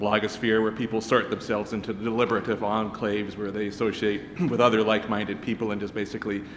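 A man talks at a fast pace. His pitch is fairly low, with little pitch movement.

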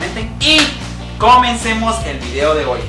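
Music is clearly audible behind the voice. The speaker is a man. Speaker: comedy vlogger. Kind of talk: comedy monologue vlog. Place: home room.

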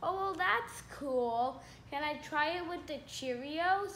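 A cartoonish character voice speaks in a high pitch at a fairly slow pace, with clear background noise. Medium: puppet show. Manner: curious, easily impressed.

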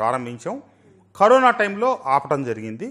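Against a quiet background, a man talks with very wide pitch swings. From Andhra Pradesh. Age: 50s. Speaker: politician; politician interviewee. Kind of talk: interview. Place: studio. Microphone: lapel.

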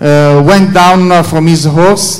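Against audible room echo, a man talks slowly at a high pitch with fairly even intonation.

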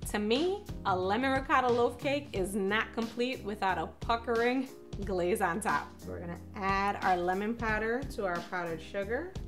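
Clear music plays in the background as a woman speaks. Her pace is moderate and her pitch variation ordinary. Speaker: cooking show host. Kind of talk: tutorial. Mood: cheerful and upbeat. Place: kitchen.

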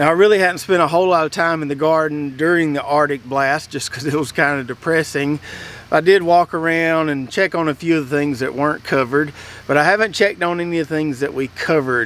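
A man talks at a very fast pace with fairly even intonation. The sound is dry with no echo. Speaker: home gardener vlogger. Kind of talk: casual vlog chat. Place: garden.

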